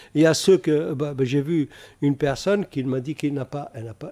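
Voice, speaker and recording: A man with a fairly high pitch and a dark, mellow tone, speaking at a fairly quick pace on a very clean recording with a silent background. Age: 70s. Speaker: novelist. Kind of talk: radio interview. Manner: halting.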